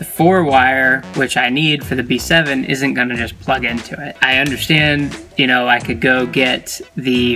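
A man speaks at a fairly slow pace with faint music in the background. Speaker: car project vlogger. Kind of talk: casual vlog chat. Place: car. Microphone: phone near.

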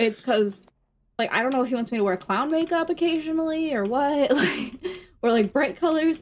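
A woman speaks at a fairly quick pace with lively intonation. Her pitch is high. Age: 30s. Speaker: streamer's wife. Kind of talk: casual chat. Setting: home studio. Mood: storytelling, mildly exasperated. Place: home room.

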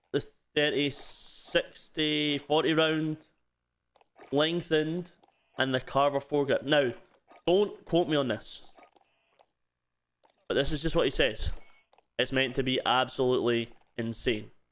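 With a Scottish accent, a man speaks at a fairly high pitch and a fairly slow pace, his pitch varying in an ordinary way. His loudness stays very even, and he leaves long, frequent pauses. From Scotland. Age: 20s. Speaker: streamer.

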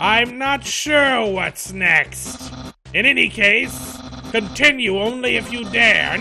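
Over clear background noise, someone performs a put-on character voice at a very slow pace. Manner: pompous, excitable, loud.

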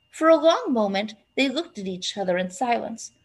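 Lively intonation carries this reading aloud in a natural voice.

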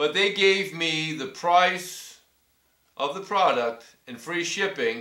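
The pitch swings very widely. There is audible room echo over a quiet background. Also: man. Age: 60s. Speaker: cycling YouTuber reviewing gear; customer reviewing products. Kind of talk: casual product review vlog. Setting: filming himself on camera. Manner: hesitant, many fillers. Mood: pleased, appreciative. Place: home room. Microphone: webcam.

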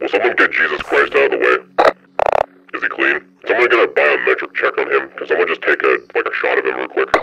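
Amid clear background noise, a man uses a put-on character voice at an extremely high pitch, moving at a fairly quick pace. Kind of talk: military radio chatter roleplay. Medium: game stream. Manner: commanding, curt, exasperated.

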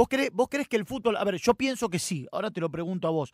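A high-pitched man speaks in a Rioplatense accent with very wide pitch swings. The sound is dry with no echo and the background is quiet. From Argentina. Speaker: radio host. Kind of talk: radio interview. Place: studio.

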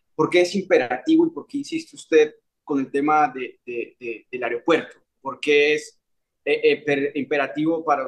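Against a quiet background, a man with a fairly high pitch speaks at a moderate pace, with ordinary pitch variation and big swings in loudness. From Colombia, Medellín. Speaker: YouTube interviewer. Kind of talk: interview. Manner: halting, many fillers. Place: home room. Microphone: webcam.

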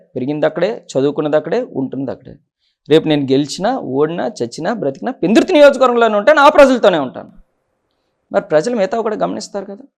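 Here a man talks at a high pitch, with very wide pitch swings. His loudness also shifts in big swings. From Pendurthi area, Visakhapatnam, Andhra Pradesh. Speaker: politician, sitting legislator. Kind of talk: interview.

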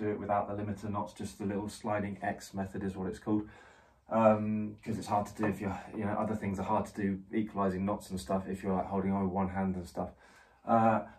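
Monotone and flat, a man with a fairly low pitch talks at a fairly quick pace. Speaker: climbing instructor. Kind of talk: tutorial. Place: home room. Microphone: camera far.

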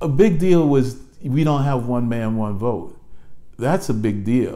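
The voice has a dark, mellow tone, moves at a fairly slow pace and shows ordinary pitch variation. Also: man, medium pitch for a man.

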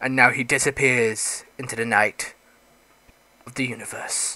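A man's put-on character voice, raspy and medium in pitch, at a moderate pace with monotone, flat intonation. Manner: dramatic, heroic.

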